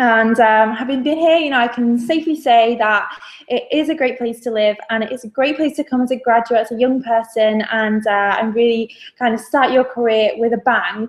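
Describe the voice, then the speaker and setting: With a northern English accent, the speaker keeps fairly even intonation at a moderate pace. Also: woman, high pitch for a woman. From northern England. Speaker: graduate recruitment staff. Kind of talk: webinar presentation. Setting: video webinar. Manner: hesitant, many fillers.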